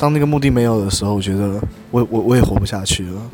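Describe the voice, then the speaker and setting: Over noticeable background noise, a man rattles along at a very fast pace with ordinary pitch variation. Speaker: podcast guest. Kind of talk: casual chat. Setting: coffee shop.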